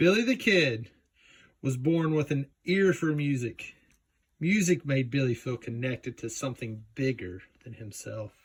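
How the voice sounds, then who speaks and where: Speaking with a Southern US accent, a man talks at a fairly slow pace in a fairly high, somewhat breathy voice with lively intonation. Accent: Southern US drawl. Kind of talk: children's picture book read-aloud. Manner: casual, joking asides.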